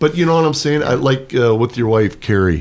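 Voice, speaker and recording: This is an ordinary speaking voice of a man at medium pitch. His intonation is lively. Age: 60s. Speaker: retired PE teacher and pole vault coach. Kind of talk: casual chat.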